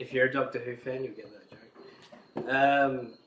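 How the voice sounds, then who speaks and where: There is noticeable background noise behind a man speaking. He talks at a fairly quick pace and a medium pitch. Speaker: collector. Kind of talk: casual talk to camera.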